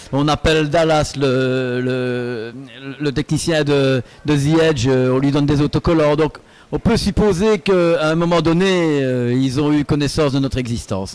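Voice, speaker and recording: Speaking slowly-ish with a slight Belgian accent, a man keeps a fairly high pitch, ordinary pitch variation and very even loudness. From Belgium, Liège area. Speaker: singer in a cover band. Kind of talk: interview. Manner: hesitant, many fillers.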